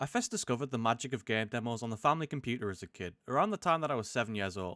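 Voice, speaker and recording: A man talks at a very fast pace with medium pitch, lively intonation and a bright, sharp tone. The recording is very clean, with a silent background. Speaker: gaming YouTuber. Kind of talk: casual gameplay commentary.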